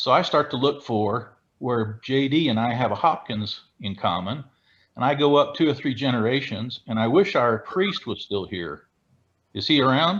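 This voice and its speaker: A man with a normal speaking voice and lively intonation, against a quiet background. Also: medium pitch for a man, moderate pace. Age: 60s. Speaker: retired police chief, genealogy researcher. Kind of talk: video call presentation.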